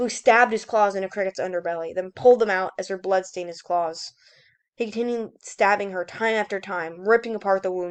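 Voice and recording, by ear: The setting is a quiet background. Within it, reading aloud in a natural voice shows ordinary pitch variation.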